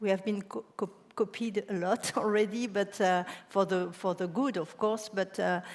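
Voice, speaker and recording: With a French accent, a woman speaks at a moderate pace and medium pitch in a monotone, flat intonation. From France. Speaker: cancer center director. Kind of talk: panel discussion.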